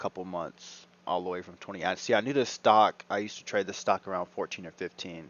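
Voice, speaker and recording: A quiet man's voice at a fairly quick pace. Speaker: day trader. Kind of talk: live trading commentary.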